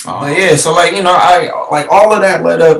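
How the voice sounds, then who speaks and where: Moderate pace and ordinary pitch variation in a man's speech. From Detroit, US. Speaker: musician and entertainer. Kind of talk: interview. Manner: animated.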